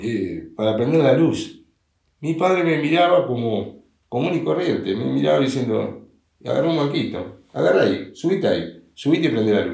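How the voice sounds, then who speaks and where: A man with a dark, mellow tone and vocal fry speaks at a moderate pace with lively intonation. Audible room echo surrounds the recording. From Uruguay, Montevideo. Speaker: father of the host. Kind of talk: casual chat.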